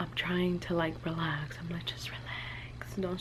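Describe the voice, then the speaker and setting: Noticeable background noise and audible room echo accompany the woman's speech. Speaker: vlogger, new mom. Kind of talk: casual vlog chat. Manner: conversational, many fillers.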